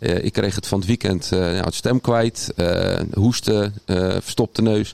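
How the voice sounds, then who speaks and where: The sound is dry and close, with no echo. A man talks at a moderate pace in a fairly low pitch. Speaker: podcast co-host. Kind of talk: casual chat.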